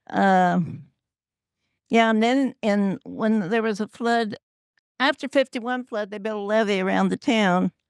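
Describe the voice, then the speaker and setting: A woman with a Midwestern US accent and a fairly high pitch, talking at a fairly slow pace with long, frequent pauses and ordinary pitch variation, in a very clean recording with a silent background and a dry, close sound without echo. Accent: rural Midwestern US. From Kansas. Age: 80s+. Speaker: longtime local resident. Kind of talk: panel reminiscence.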